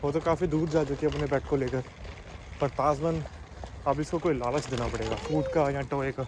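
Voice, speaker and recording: Speaking with a Punjabi accent, a man with a fairly high pitch keeps a moderate pace. His intonation is monotone and flat over noticeable background noise. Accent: Punjabi-accented Hindi, non-fluent. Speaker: vlogger, father. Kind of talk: casual vlog.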